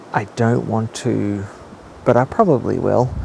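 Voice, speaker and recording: Noticeable background noise accompanies a man talking fairly slowly. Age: 30s. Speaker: fitness podcaster. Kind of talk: solo podcast monologue. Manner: subdued, not so positive; hesitant, many fillers.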